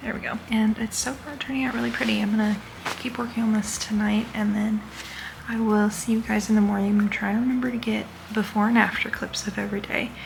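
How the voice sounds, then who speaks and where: Over noticeable background noise, a woman speaks quietly and very fast at a fairly high pitch, with fairly even intonation. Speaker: crochet vlogger and plush maker. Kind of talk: casual vlog. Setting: hotel room. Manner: quiet, hushed talking.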